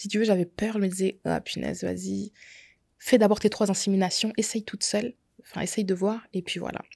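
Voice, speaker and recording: Over a quiet background, a woman talks at a fairly quick pace in a dark, mellow tone with monotone, flat intonation. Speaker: makeup artist sharing her endometriosis story; podcast guest. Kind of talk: testimony. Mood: earnest, personal testimony. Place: studio. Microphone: studio mic.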